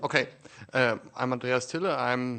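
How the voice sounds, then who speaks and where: A man with a German accent, a bright, sharp tone and a moderate pace, over a quiet background. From Germany. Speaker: Debian developer and physicist. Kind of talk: panel discussion. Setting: conference panel with audience.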